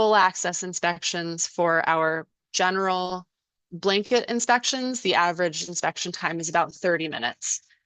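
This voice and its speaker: A woman speaks in an unremarkable speaking voice, fairly low in pitch. Her pace is fairly slow, with ordinary pitch variation. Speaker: fire district defensible space inspection staff. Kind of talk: webinar presentation.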